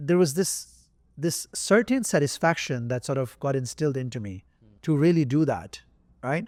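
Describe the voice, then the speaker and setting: A man speaks at a fairly high pitch and a moderate pace with lively intonation. The recording is very clean, with a silent background. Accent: non-native. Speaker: entrepreneur. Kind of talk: interview answer.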